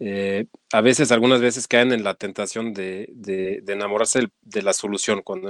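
A man with a French accent talks at a fairly quick pace with hardly any pauses, his pitch fairly low and his intonation monotone and flat. The recording is very clean with a silent background, dry and close with no echo. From France. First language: French (speaking Spanish). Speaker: nonprofit executive. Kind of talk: interview.

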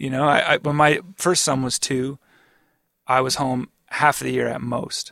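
A man with a fairly high pitch at a moderate pace, the sound dry and close with no echo. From Atlantic Canada. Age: 40s. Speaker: rock guitarist. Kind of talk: casual interview. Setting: studio.

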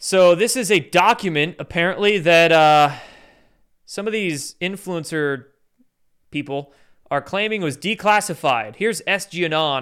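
Speaking at a fairly slow pace, a man with an American accent has a high voice with ordinary pitch variation. The recording is very clean with a silent background. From US Pacific Northwest. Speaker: YouTube commentator. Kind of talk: rant-style commentary with clips. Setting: livestream, Sunday night. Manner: animated, sarcastic.

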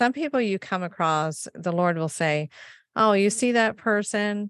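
An unremarkable speaking voice with an American accent and lively intonation. The sound is dry and close with no echo, over a quiet background. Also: woman. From US, Maine. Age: 50s. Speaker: guest sharing faith story. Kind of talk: testimony.

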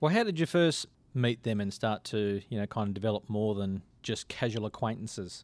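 A man's fairly low voice at a fairly quick pace with ordinary pitch variation, dry and close with no echo, on a very clean recording against a silent background. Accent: Australian. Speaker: podcast interviewer. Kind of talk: casual interview chat.

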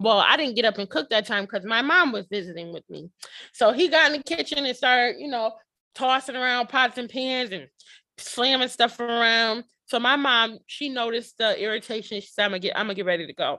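Speaking at a fairly quick pace, a woman uses a fairly high pitch, a bright, sharp tone and lively intonation. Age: 30s. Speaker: podcast coach and founder. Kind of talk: casual interview chat.

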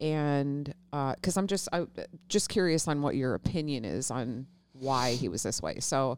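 A woman talks at a fairly slow pace, her pitch varying in an ordinary way, on a very clean recording with a silent background. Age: 40s. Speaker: podcast co-host. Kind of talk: casual chat.

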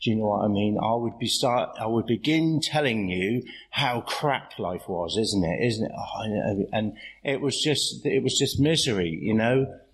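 The pace is fairly slow. Pitch variation stays ordinary. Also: man, medium pitch for a man. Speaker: AA meeting speaker. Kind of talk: recovery share at meeting. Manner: halting, filler-heavy.

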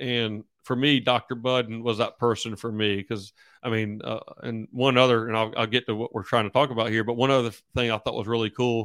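Monotone, flat delivery from a man at medium pitch and a fairly quick pace, dry and close with no echo, in a very clean recording with a silent background. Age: 40s. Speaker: football coach. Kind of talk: casual interview. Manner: halting, many fillers.

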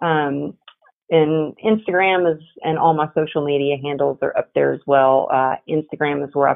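At a moderate pace, a woman with a Texas accent speaks in a very deep, low pitch with ordinary pitch variation. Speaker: resilience coach and author. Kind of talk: interview conversation. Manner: animated.

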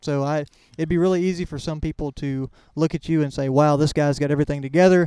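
In a Texan accent, a man rattles off words at a very fast pace, his fairly high voice dark and mellow in tone and monotone and flat, on a dry, close, echo-free recording that is very clean with a silent background. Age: 20s. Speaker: podcast host. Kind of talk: podcast interview and intro/outro.

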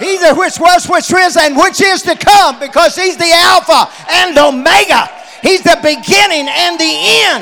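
Raised and projected, a man's extremely high voice moves at a fairly slow pace with an animated tone and ordinary pitch variation over noticeable background noise. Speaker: preacher. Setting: church with a congregation. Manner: animated, exhortative, emphatic; repeats phrases and punches key words, call-and-response.

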